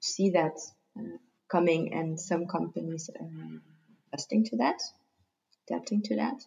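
At a moderate pace, the voice shows vocal fry and very wide pitch swings, broken by long, frequent pauses. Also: woman, fairly low pitch for a woman. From Germany. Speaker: coach and yoga teacher. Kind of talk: interview.

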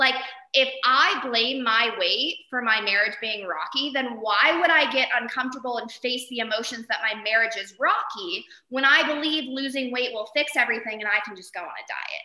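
An animated woman with an American accent, high pitch, ordinary pitch variation, big swings in loudness and a moderate pace, over noticeable background noise. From Arizona. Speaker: therapist. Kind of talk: interview.

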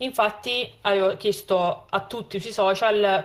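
A woman's voice at medium pitch. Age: 20s. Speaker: podcast host. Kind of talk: casual chat. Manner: halting.

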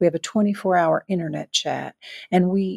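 A woman speaks with a Southern US accent in a fairly low pitch. The sound is dry and close, with no echo. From US South. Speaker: volunteer nonprofit leader. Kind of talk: interview.

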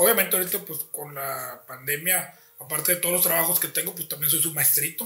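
In a Mexican accent, the speaker moves at a fairly quick pace with ordinary pitch variation as music plays in the background. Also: man, high pitch for a man. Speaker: teacher and father. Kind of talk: casual chat.

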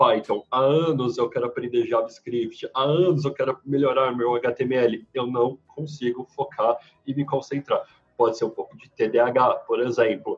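A man talking at a fairly slow pace. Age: 30s. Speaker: marketing professional, former freelancer. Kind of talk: casual chat.

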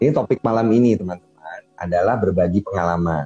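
Very deep and low in pitch, a man speaks at a fairly quick pace in a dark, mellow tone, with a dry, close sound and no echo. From West Java, Indonesia. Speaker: podcast host and interviewer. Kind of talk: casual interview chat. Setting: video call. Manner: relaxed, conversational.

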